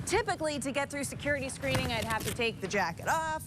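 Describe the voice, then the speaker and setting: A woman with an American accent at a very fast pace, very wide pitch swings, and noticeable background noise. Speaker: TV news anchor and reporter. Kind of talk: field reporter package narration. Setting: television news studio and field reports.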